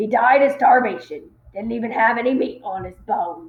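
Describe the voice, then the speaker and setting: This woman uses a put-on character voice that is raspy and fairly high in pitch. She talks at a moderate pace. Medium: read story.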